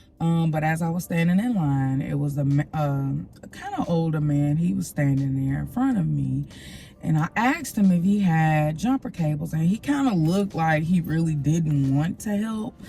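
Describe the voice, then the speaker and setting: A woman's very deep, low voice in a relaxed tone, lively intonation, moderate pace, noticeable background noise. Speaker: lifestyle vlogger. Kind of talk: casual vlog talk to camera. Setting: parking garage at the office. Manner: relaxed, rambling with fillers.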